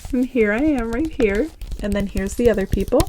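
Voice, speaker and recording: Noticeable background noise behind a woman in an American accent. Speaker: ASMR creator. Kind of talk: casual talk to camera.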